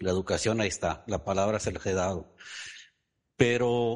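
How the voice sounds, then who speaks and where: At a moderate pace, a man speaks at a fairly low pitch in an unremarkable speaking voice, with ordinary pitch variation. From Ensenada, Baja California, Mexico. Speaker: parent asking question. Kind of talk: personal question and testimony. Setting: Zoom call.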